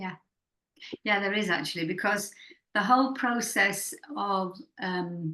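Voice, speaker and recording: Speaking at a fairly slow pace with long, frequent pauses, a woman with a Yorkshire accent has a bright, sharp tone, a medium pitch and ordinary pitch variation. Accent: Northern English (Yorkshire). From Leeds, England. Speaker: poet and writer. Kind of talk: interview answer.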